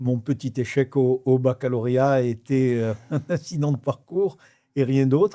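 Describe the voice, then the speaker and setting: A man's dark, mellow voice at medium pitch, fairly slow, with ordinary pitch variation, on a very clean recording with a silent background. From Morocco (Rabat), French expatriate family. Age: 80s+. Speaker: real estate developer, entrepreneur. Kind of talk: interview answer.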